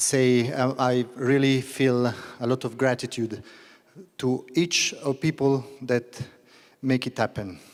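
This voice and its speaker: A man with an Italian accent speaks at a very slow pace in a monotone, flat way, leaving long, frequent pauses. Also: medium pitch for a man. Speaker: business association president. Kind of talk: welcome speech. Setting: stage in opera theater with audience. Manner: halting in English.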